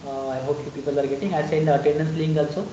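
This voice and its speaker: A man's fairly high-pitched voice amid noticeable background noise and audible room echo. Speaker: python trainer. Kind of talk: online lecture.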